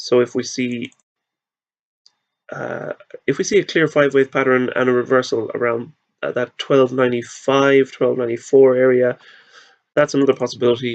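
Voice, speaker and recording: Dry, close sound with no echo, an Irish accent, monotone, flat intonation, a moderate pace and long, frequent pauses. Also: man, medium pitch for a man. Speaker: market analyst. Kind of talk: tutorial. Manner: halting.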